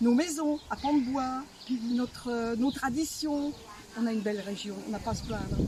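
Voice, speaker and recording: High-pitched female speech with noticeable background noise. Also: ordinary pitch variation, moderate pace. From France, Bresse region. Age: 70s. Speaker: folk dancer. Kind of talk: interview.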